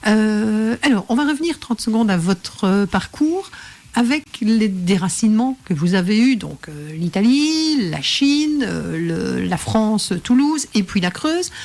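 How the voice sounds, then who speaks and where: A woman at a fairly high pitch, with very wide pitch swings and a very slow pace, over noticeable background noise. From Belgium. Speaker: professional coach and radio host. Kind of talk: radio interview host.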